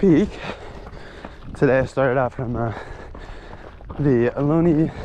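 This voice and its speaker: Amid noticeable background noise, a man speaks with fairly even intonation in a fairly high pitch. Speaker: vlogger. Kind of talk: vlog while trail running. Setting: outdoors, on a trail. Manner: halting, many fillers.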